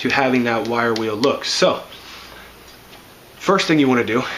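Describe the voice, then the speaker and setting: A man talks with ordinary pitch variation, his voice carrying audible room echo amid noticeable background noise. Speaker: car hobbyist making a DIY video. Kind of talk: tutorial.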